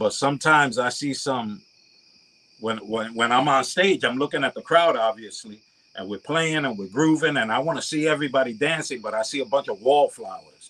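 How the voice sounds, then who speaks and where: Here a man's voice is fairly high, with a bright, sharp tone. He keeps up a fairly quick pace. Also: ordinary pitch variation. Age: 60s. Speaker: latin musician. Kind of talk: casual chat.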